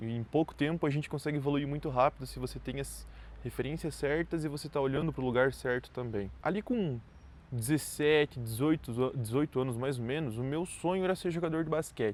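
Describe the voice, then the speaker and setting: This voice has an unremarkable speaking voice with ordinary pitch variation. The pace is fairly quick. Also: man. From southern Brazil, Santa Catarina (Chapecó). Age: 20s. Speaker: entrepreneur vlogger. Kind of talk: personal story monologue. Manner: casual, conversational.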